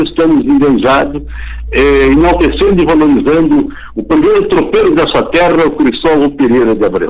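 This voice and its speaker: Background noise is noticeable here. A man speaks at a medium pace. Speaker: folk poet and reciter. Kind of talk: radio interview. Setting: remote call. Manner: animated.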